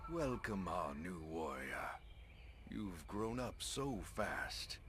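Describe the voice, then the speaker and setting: Through loud background noise, a man does a put-on character voice at a fairly low pitch and a very slow pace. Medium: video game. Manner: warm, friendly.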